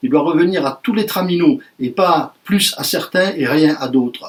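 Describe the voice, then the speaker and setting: A fairly high-pitched man with lively intonation. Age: 60s. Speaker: trade union representative. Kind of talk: union speech to workers. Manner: animated.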